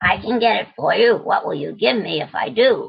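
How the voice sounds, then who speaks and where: A woman puts on a raspy character voice. Her pitch is fairly high and her pace moderate. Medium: solo performance. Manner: insistent, bargaining.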